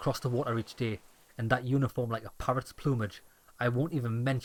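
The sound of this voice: An unforced reading voice carries fairly even intonation.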